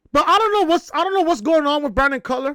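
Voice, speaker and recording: Raised and projected, a man's extremely high-pitched voice has a bright, sharp tone on a very clean recording with a silent background. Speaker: wrestling podcaster. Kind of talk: casual review talk to camera. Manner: excited, energetic.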